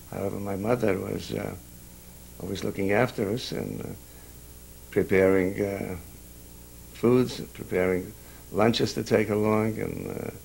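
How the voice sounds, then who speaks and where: A man's fairly low voice with vocal fry and ordinary pitch variation, at a fairly slow pace with long, frequent pauses. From Carpathian Ruthenia, near Chust. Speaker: Holocaust survivor. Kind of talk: oral history interview. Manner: halting, many hesitations.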